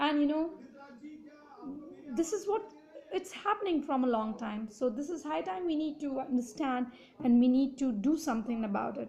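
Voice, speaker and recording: A woman with an Indian accent and a high voice talks at a moderate pace, using very wide pitch swings and long, frequent pauses. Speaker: political commentator. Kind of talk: opinion monologue. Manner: halting, many fillers and restarts.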